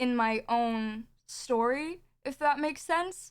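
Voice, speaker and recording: A high-pitched woman's voice with ordinary pitch variation, recorded very cleanly against a silent background. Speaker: streamer. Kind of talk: emotional livestream statement. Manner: halting, with pauses and stutters.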